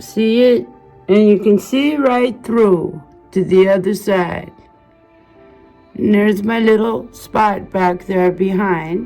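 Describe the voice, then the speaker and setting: Music plays in the background while a woman talks at a very slow pace with ordinary pitch variation. Her speech has long, frequent pauses. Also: medium pitch for a woman. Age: 60s. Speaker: YouTuber. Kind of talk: casual home tour to camera.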